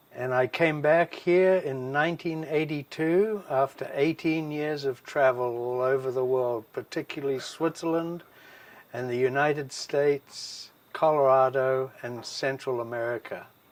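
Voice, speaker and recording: In a New Zealand accent, a man with a fairly high pitch talks at a fairly slow pace with fairly even intonation. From New Zealand, Wellington. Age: 60s. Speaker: former ski club bar manager. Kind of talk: interview.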